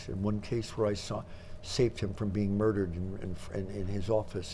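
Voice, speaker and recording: At a moderate pace, a man talks in a fairly low, somewhat breathy voice with a dark, mellow tone. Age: 80s+. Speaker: mentalist and entertainer. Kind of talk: interview answer.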